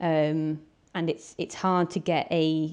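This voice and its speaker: A woman's fairly low, dark, mellow voice in a Welsh accent, monotone and flat, over a quiet background. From Wales (mid Wales). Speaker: wilderness guide. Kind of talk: interview.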